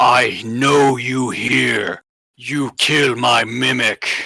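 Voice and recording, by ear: A man puts on a booming, growling character voice at a medium pitch. He speaks at a very slow pace.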